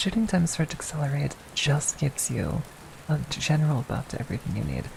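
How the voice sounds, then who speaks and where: A woman talks softly at a moderate pace, with noticeable background noise behind her. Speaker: VTuber. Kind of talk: ASMR gaming tutorial, educational explanation. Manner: soft-spoken.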